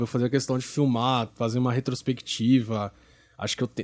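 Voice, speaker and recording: A man talks with a medium-pitched voice. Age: 20s. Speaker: church media team leader. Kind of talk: casual chat. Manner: fast.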